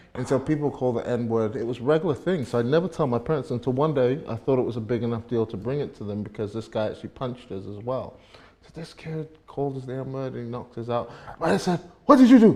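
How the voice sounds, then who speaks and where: With a British accent, a man talks very fast in a dark, mellow tone, his loudness swinging widely. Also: medium pitch for a man, ordinary pitch variation. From Scotland and England. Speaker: pastor. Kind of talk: casual chat. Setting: livestream.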